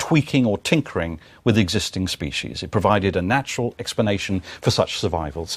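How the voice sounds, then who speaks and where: Talking at a very fast pace, a man with a British accent uses lively intonation at a fairly low pitch, in a dry, close recording with no echo and a silent background. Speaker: lecturer. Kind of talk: lecture.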